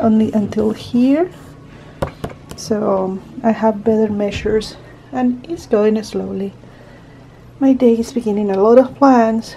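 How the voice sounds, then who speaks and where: A woman speaks at a fairly slow pace with a non-native accent, pausing long and often. Her pitch varies in an ordinary way over light background noise. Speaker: home vlogger. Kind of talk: casual vlog talk to camera. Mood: calm, relaxed. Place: home room. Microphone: phone near.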